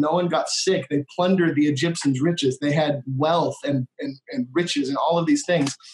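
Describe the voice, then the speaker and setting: With an unremarkable speaking voice and an American accent, a man speaks in a fairly high pitch and fairly even intonation, the sound dry and close with no echo. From US Midwest, Minnesota. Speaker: worship leader. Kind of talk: casual interview conversation.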